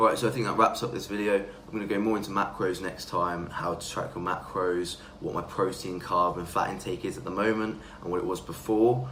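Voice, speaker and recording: A man with an English accent and a fairly low pitch talks at a fairly quick pace with fairly even intonation. Audible room echo and noticeable background noise fill the recording. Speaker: fitness vlogger. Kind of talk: casual vlog talk.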